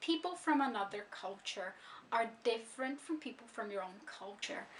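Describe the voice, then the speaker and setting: With a Brazilian accent, the voice moves through very wide pitch swings. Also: woman. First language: Brazilian Portuguese. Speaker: language learning vlogger. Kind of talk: explanatory vlog monologue.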